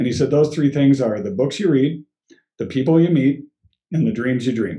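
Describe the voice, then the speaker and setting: A man with an American accent speaks at a medium pitch in a dark, mellow, somewhat breathy tone. He moves at a fairly quick pace with ordinary pitch variation. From Colorado, US. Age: 50s. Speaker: guest sharing life story. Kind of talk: casual interview. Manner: halting, with frequent repeats.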